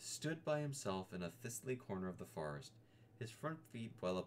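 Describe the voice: The plain reading aloud carries lively intonation.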